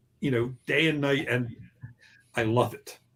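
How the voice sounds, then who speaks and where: This man's voice is somewhat breathy. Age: 60s. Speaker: novelist. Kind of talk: interview. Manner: halting.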